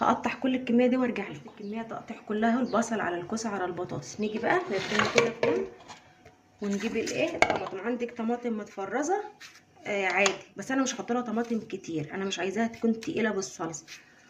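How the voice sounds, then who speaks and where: Amid noticeable background noise, a woman with a fairly high voice speaks at a fairly quick pace. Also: ordinary pitch variation. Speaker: home cooking vlogger, mother. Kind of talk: cooking tutorial. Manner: lowered voice at times.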